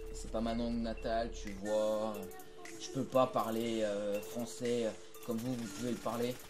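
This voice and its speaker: Over music in the background and with audible room echo, a man talks fairly slowly in a monotone, flat delivery. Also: medium pitch for a man. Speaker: gaming youtuber. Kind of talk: live gameplay commentary. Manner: halting, stumbling over words.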